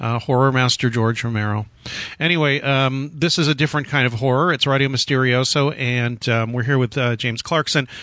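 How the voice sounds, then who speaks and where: Over a quiet background, a man speaks at a medium pitch. His tone is bright and sharp. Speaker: radio host. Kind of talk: casual interview. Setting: phone call.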